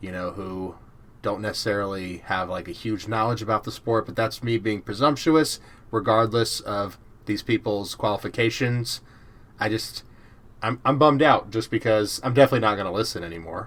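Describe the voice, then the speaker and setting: A man with an American accent speaks in a plain, everyday voice, fairly low in pitch, with ordinary pitch variation and a moderate pace. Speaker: podcast host. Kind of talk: casual chat.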